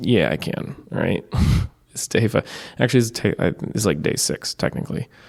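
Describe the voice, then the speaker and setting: A man with a fairly low pitch is talking. Noticeable background noise runs underneath. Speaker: podcaster, open mic performer. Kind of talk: casual monologue. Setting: library room. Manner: loud by habit, talking softer now.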